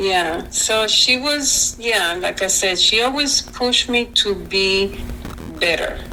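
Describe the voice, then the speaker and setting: A woman speaks very slowly with a Spanish accent, her pitch fairly high and her pitch variation ordinary. Her loudness stays very even while music plays in the background. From Panama. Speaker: university alumna. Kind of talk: interview. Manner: hesitant, many fillers.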